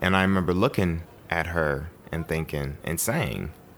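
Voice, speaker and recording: With an American accent, this man has a very deep, low pitch. His pitch varies in an ordinary way. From Chicago, US Midwest. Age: 20s. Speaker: jazz pianist and theologian. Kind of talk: interview conversation. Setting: at his home.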